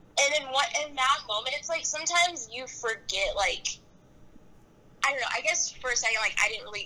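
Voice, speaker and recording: A woman talks fairly quickly in a high, raised and projected voice with lively intonation. Her loudness swings widely. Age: young. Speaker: student podcaster. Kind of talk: casual chat.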